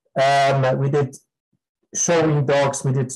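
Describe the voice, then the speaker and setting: A fairly high-pitched man's voice over music in the background. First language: German. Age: 50s. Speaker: dog breeder and breed judge. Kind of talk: interview. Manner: halting.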